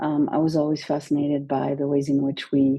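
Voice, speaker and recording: A woman's dark, mellow voice with a very deep, low pitch, a fairly quick pace and a quiet background. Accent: French. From France. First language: French. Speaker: university administrator. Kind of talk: interview. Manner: hesitant with many fillers.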